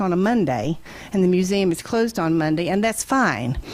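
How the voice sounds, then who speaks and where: An unremarkable speaking voice from a woman with an American accent, medium in pitch, at a fairly quick pace. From southwest Virginia. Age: 60s. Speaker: public commenter at town meeting. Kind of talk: public comment.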